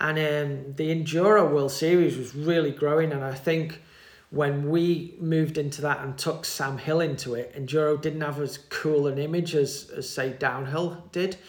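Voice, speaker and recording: A man with a British accent speaks at a moderate pace in a fairly high voice. His intonation is flat and monotone, and the room echo is audible. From UK. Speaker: mountain bike team manager. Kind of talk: interview. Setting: in person.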